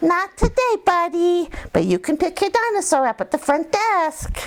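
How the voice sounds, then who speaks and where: Extremely high, squeaky put-on character voice at a moderate pace. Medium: read story. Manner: cheerful, matter-of-fact.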